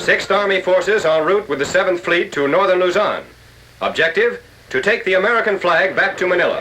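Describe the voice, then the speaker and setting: A raised, projected voice at a fairly quick pace, with ordinary pitch variation and noticeable background noise. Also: man. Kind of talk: wartime newsreel narration.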